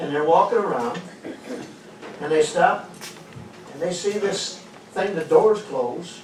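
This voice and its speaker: Someone speaks at a fairly slow pace. Noticeable background noise is present. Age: 70s. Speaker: comedian. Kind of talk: stand-up.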